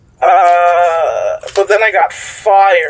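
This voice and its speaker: Noticeable background noise fills the clip while a man talks at a very slow pace. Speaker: player in role-playing game. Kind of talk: casual tabletop RPG chat.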